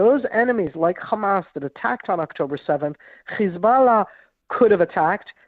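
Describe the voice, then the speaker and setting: In an American accent, a woman uses lively intonation and a medium pitch in a normal speaking voice. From grew up in Israel, American-born. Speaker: retired military intelligence officer. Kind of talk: radio interview.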